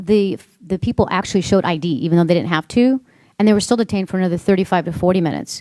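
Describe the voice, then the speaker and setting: In a Spanish accent, a woman with a medium pitch and a dark, mellow tone talks very fast, the sound dry and close with no echo on a very clean recording with a silent background. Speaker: congresswoman questioning a witness. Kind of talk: hearing questioning.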